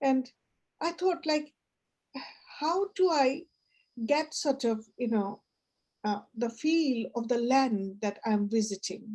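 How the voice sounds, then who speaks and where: A woman with a high pitch and a dark, mellow tone speaks at a very slow pace. Her intonation is lively, with long, frequent pauses. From Bangladesh. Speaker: poetry reading guide and storyteller. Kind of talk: casual discussion. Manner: halting.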